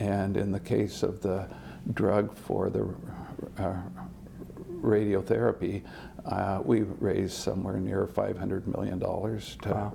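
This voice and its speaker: Someone with an American accent speaks at a very slow pace and fairly even intonation over noticeable background noise. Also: man. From Indiana, US Midwest. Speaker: chemistry professor. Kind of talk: interview. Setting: on location at a university. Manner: hesitant, many fillers.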